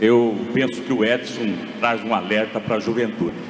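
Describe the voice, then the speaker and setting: Audible room echo and noticeable background noise around a man speaking at a fairly slow pace. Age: 60s. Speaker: mayoral candidate. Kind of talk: political debate.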